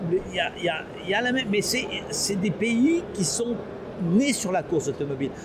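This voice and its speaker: Over noticeable background noise, a high-pitched man talks at a fairly quick pace with very wide pitch swings and long, frequent pauses. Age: 70s. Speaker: company founder. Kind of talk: interview. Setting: trade show. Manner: halting.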